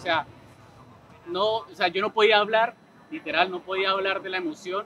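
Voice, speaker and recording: Over light background noise, a man uses a raised, projected voice in a high pitch at a moderate pace, with a dry sound and no echo. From Colombia. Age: 20s. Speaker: esports player. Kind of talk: interview testimony. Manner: hesitant, many fillers. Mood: happy, emotional, grateful. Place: hall.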